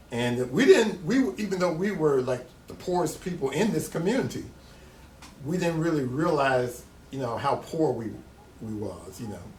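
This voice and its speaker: With an American accent and a fairly high pitch, a man speaks at a moderate pace with very wide pitch swings and long, frequent pauses, his voice carrying audible room echo. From US South. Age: 60s. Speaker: artist. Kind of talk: interview.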